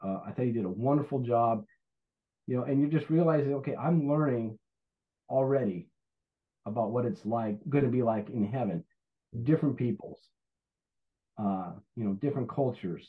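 A man with a medium pitch talks at a moderate pace with ordinary pitch variation. He leaves long, frequent pauses. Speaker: church member, volunteer ministry ambassador. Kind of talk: casual interview. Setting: video call.

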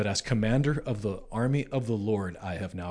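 With an American accent, a man speaks at a moderate pace and medium pitch in a dark, mellow tone against a quiet background. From Nebraska, US Midwest. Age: 40s. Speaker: lead pastor. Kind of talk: casual chat.

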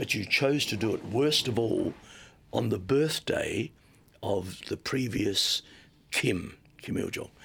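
A man with an Australian accent talks very slowly at a medium pitch, with long, frequent pauses. His pitch varies in an ordinary way. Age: 70s. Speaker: missionary. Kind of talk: testimony.

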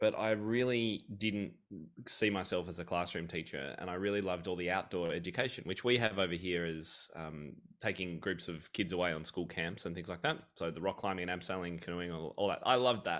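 In a very clean recording with a silent background, a speaker with an Australian accent moves at a fairly quick pace with ordinary pitch variation. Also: man, very deep, low pitch for a man. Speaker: piano teacher and author. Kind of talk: casual interview.

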